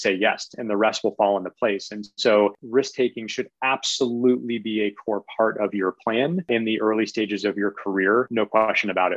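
A man with an American accent speaks in a normal speaking voice at fairly low pitch and moderate pace. His intonation is fairly even, with hardly any pauses, and the sound is dry and close with no echo. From US Northeast, southern Maine. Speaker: tech company executive. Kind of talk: interview.

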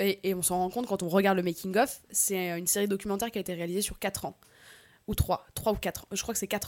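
A woman's medium-pitched voice at a very fast pace, on a very clean recording with a silent background. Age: 30s. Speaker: actress and web creator. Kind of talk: casual panel discussion.

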